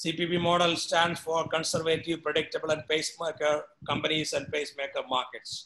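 Over light background noise, a man with a high voice speaks at a moderate pace in a monotone, flat delivery. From India. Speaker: professor; professor lecturing. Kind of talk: lecture. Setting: video call. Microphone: video call.

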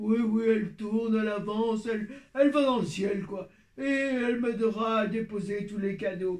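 In a cartoonish character voice, a man speaks at a high pitch and a moderate pace. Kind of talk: children's puppet show. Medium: puppet.

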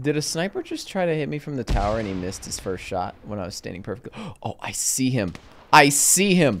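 With vocal fry and an animated tone, a man at medium pitch talks at a fairly quick pace, his pitch swinging very widely. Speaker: gaming youtuber. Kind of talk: casual gameplay commentary. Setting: gaming recording. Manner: casual, joking.

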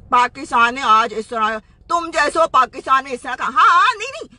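A woman speaks in a raised, projected voice at a moderate pace. The sound is dry, with no echo. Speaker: social media commentator. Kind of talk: angry rant to camera. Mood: angry, scornful. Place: car. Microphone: phone near.

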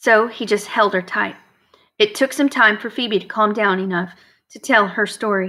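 Against a quiet background comes plain reading aloud.

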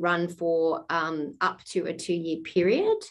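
A woman with an Australian accent speaks at a medium pitch against a quiet background. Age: 40s. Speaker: arts funding officer. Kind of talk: webinar Q&A. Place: home room. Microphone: video call.

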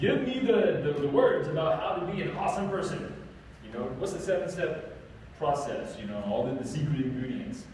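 Strong room echo and light background noise accompany a man talking at a fairly quick pace. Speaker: presenter. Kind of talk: lecture. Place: meeting room. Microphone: camera far.

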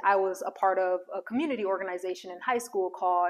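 In a quiet background, a woman with a medium pitch speaks at a fairly quick pace. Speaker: social worker and career coach; career coach. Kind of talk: casual vlog monologue. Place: home room. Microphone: lapel.

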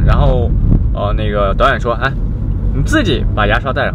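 Amid loud background noise, a man speaks at a very fast pace in a dry sound with no echo. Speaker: vlogger. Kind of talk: casual vlog chat. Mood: slightly hurried. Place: car. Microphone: camera far.

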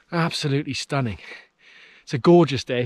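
Moderate pace from a man, ordinary pitch variation, dry sound with no echo and a quiet background. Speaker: hiker vlogger. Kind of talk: casual vlog chat. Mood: excited, enthusiastic. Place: open country. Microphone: phone near.

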